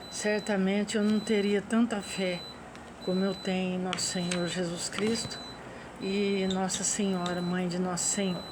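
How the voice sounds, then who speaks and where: A woman talks at a fairly slow pace and medium pitch, her intonation monotone and flat. Noticeable background noise and audible room echo fill the recording. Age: 60s. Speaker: religious vlogger. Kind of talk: personal reflection monologue. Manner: halting.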